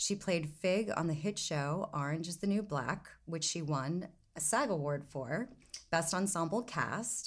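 A woman with an ordinary speaking voice and a fairly low pitch talks at a fairly slow pace with lively intonation. The recording is very clean, the background silent. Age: 50s. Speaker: podcast host. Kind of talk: interview.

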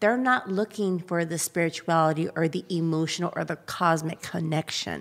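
On a very clean recording with a silent background, a woman at medium pitch speaks in an animated tone at a moderate pace. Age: 40s. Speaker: podcast host and adult film performer. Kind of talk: casual chat.

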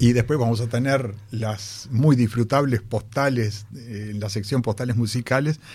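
A man's somewhat breathy, medium-pitched voice with a Rioplatense accent, fairly even intonation and a fairly slow pace. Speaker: radio host. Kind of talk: radio show. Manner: halting.

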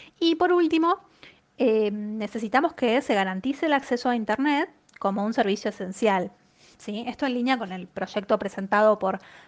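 A woman speaks in a plain, everyday voice at a fairly high pitch. Her intonation is lively and her pace moderate. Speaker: economist. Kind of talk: economic commentary column. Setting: sent via WhatsApp.

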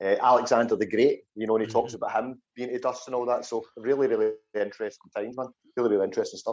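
In a Scottish accent, a man talks at a very fast pace with monotone, flat intonation. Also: medium pitch for a man. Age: 40s. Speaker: podcast host. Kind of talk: casual interview.

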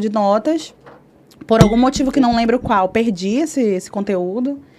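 A woman's fairly high voice at a moderate pace, over noticeable background noise. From northern Brazil, Belém do Pará. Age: 30s. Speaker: singer-songwriter and music teacher. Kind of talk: casual interview chat.

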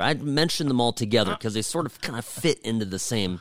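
A man's fairly low voice at a very fast pace, with very wide pitch swings, on a very clean recording with a silent background. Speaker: podcast host. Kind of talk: casual chat.

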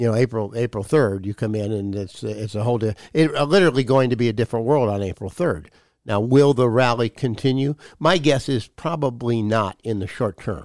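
A man with an American accent speaks in a plain, everyday voice at a fairly quick pace, medium in pitch with ordinary pitch variation. The recording is very clean, dry and close, with no echo and a silent background. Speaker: radio show host, financial advisor. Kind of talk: casual chat on a radio show. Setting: studio radio show. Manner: joking, relaxed.

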